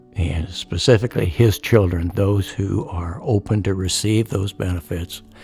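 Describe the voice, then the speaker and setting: With music in the background, a man with a very deep, low pitch talks with hardly any pauses. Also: ordinary pitch variation, moderate pace. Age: 70s. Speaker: retired fighter pilot. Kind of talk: testimony.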